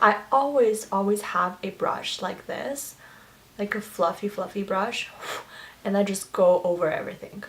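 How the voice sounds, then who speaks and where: Over noticeable background noise, a woman with a Chinese accent speaks at a moderate pace in a medium pitch, her tone animated and her pitch variation ordinary. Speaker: beauty vlogger. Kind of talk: makeup tutorial chat.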